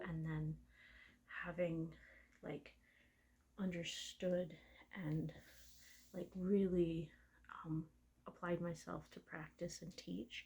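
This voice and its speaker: Relaxed and somewhat breathy, a woman speaks in a dark, mellow tone at a fairly low pitch with monotone, flat intonation. Her pace is very slow, with long, frequent pauses. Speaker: registered massage therapist. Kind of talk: soft-spoken ASMR massage talk. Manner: soft-spoken, relaxed.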